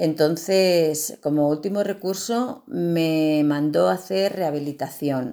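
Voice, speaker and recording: Over a silent background in a very clean recording, a woman with a very deep, low pitch and a dark, mellow tone speaks at a very slow pace with lively intonation and hardly any pauses. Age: 50s. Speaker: patient. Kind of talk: testimony.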